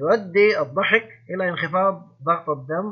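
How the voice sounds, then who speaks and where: A man's voice, high in pitch. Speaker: English teacher. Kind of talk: lecture.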